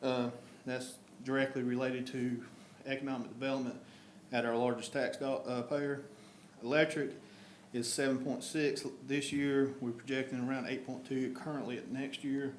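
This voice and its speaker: With a North Carolina accent, a man of medium pitch speaks in a monotone, flat way, pausing long and often, amid noticeable background noise and audible room echo. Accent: Southern US (North Carolina). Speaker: town official presenting budget. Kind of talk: budget presentation at council meeting. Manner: fast.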